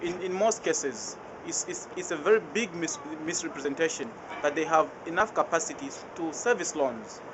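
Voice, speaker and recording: Through noticeable background noise, a high-pitched man speaks at a moderate pace with lively intonation. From Zambia. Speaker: anti-poverty debt campaigner. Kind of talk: interview answer. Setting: outdoors.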